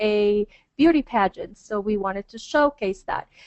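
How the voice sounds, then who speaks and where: At a moderate pace, a woman talks. She speaks with a Spanish accent. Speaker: hotel marketing director. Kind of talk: webinar presentation.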